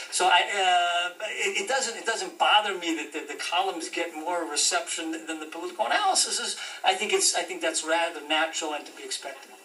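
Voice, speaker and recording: A man with an American accent at a fairly quick pace, big swings in loudness, audible room echo and noticeable background noise. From US, Denver, Colorado. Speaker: journalist and author. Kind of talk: interview. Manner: halting, many repetitions.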